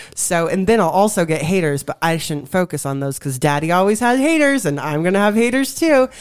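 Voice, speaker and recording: A woman talking at a fairly quick pace with hardly any pauses and very wide pitch swings, over noticeable background noise. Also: medium pitch for a woman. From Colorado. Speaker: advocate and conference speaker. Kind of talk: testimony. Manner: animated.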